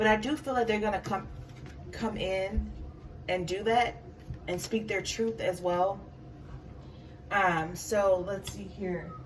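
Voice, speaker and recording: Amid audible room echo, a woman talks at a very slow pace with long, frequent pauses. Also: medium pitch for a woman, ordinary pitch variation. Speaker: tarot reader. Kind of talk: tarot reading monologue. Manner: halting, stuttering; many filler words.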